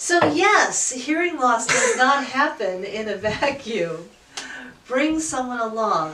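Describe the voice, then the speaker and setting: Amid noticeable background noise and audible room echo, a loud woman speaks very slowly at a high pitch with very wide pitch swings. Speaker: audiologist. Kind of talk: casual chat.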